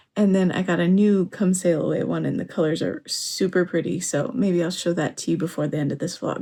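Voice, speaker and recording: A woman's somewhat breathy, dark, mellow voice on a very clean recording with a silent background. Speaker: crafting vlogger. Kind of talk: casual vlog chat. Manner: slurred from tiredness.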